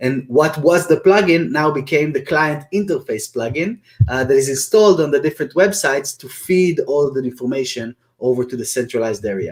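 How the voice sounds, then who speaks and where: A man with an Israeli accent speaks fairly quickly at a fairly high pitch with lively intonation. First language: Hebrew. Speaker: software company founder. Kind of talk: webinar interview. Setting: live video webinar. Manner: hesitant, many fillers.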